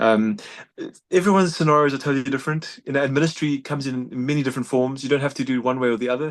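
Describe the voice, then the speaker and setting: In a South African accent, a man talks at a medium pitch. His pitch variation is ordinary, and the background is quiet. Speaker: doctor and humanitarian volunteer. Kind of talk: interview conversation. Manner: fast; halting, many repetitions.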